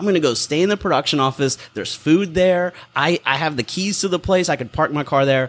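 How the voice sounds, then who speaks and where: A man talks at a fairly quick pace with hardly any pauses, his pitch fairly high and its variation ordinary. He has a plain, everyday voice. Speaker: comedy theater owner and filmmaker. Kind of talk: casual chat. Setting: bar patio.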